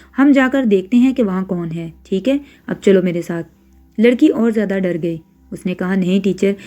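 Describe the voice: What we hear is plain reading aloud.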